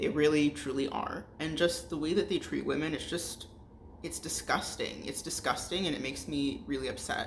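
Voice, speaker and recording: Amid noticeable background noise, a woman talks at a moderate pace. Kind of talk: casual talk to camera. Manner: frustrated, ranting.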